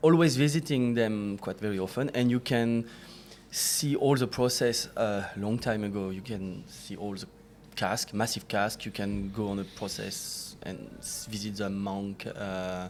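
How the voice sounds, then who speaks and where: A man with a French accent speaks at a fairly slow pace. His pitch is fairly low, with ordinary pitch variation. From France, near Chartreuse area. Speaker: distiller. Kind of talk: casual chat. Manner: halting.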